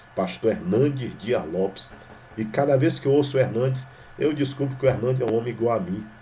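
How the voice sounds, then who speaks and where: A man's lively intonation rings out with audible room echo. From Brazil, Maranhão. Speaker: pastor. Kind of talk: sermon. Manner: informal, conversational.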